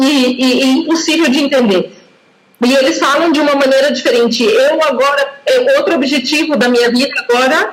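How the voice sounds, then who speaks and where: A woman speaks at a high pitch with ordinary pitch variation. Her pace is moderate and her loudness very even. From Brazil, São Paulo state. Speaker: language teacher. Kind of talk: casual conversation practice.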